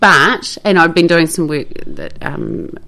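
A woman with a New Zealand accent at a fairly slow pace, amid noticeable background noise. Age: 50s. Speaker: journalist. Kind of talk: casual chat. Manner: animated.

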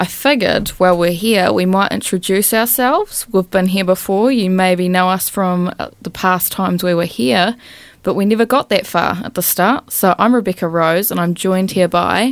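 A woman's unremarkable speaking voice with ordinary pitch variation, in a very clean recording with a silent background. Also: medium pitch for a woman, moderate pace. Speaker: student radio co-host. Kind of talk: casual student radio DJ patter between songs. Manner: relaxed, upbeat and bantering, with slangy praise for songs.

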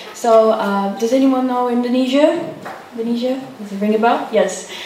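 Over noticeable background noise, a woman with a fairly high pitch speaks at a moderate pace and keeps her intonation fairly even. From Brazil. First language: Portuguese. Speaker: youth social media manager. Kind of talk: public talk. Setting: cafe with live audience.

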